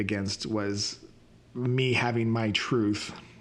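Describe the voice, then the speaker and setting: Amid noticeable background noise and audible room echo, a man talks at a fairly slow pace and medium pitch with monotone, flat intonation. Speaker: podcast host and reiki practitioner. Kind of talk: personal reflective monologue. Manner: halting, stuttering.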